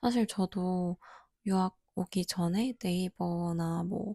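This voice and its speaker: The speech comes at a very slow pace. The recording is very clean, with a silent background. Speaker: art graduate student vlogger. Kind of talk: casual vlog review.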